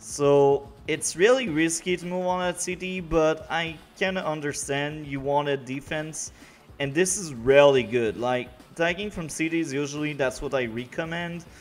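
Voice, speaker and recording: Music plays behind a man who speaks with a Quebec accent at a fairly high pitch. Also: ordinary pitch variation, moderate pace. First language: French. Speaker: video game commentator. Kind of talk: casual replay commentary.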